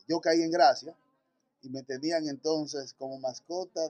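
A man with a Dominican accent and fairly even intonation. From Dominican Republic, Santo Domingo. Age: 40s. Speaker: paramedic and first-aid instructor. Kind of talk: interview.

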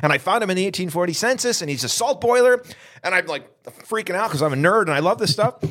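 Energetic and animated, a man with an American accent talks very fast in a high pitch, his intonation lively. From upstate New York, Southern Tier (Vestal). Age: 40s. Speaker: historian. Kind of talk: casual interview chat. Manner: energetic, animated.

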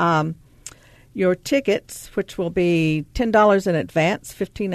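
A woman with a Southern US accent speaks at a fairly low pitch against a quiet background. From US South. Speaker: charity volunteer. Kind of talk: radio interview.

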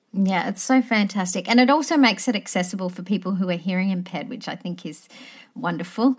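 A woman with an Australian accent talks at a very fast pace and a medium pitch, somewhat breathy, with ordinary pitch variation and big swings in loudness, on a very clean recording with a silent background. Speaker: history teacher and podcaster interviewing. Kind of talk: interview.

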